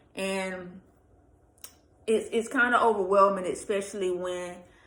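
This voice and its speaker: A woman speaks with audible room echo. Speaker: vlogger, pregnant single mom. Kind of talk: casual vlog rant. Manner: casual, hesitant with fillers.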